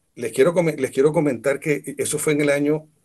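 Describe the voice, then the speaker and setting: A somewhat breathy male voice, fairly high for a man, at a very fast pace. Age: 60s. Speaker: musician and music teacher. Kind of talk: talk to students.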